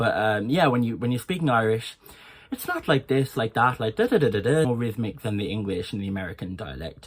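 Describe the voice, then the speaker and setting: With lively intonation, a man speaks at a medium pitch in a normal speaking voice. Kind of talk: accent tutorial.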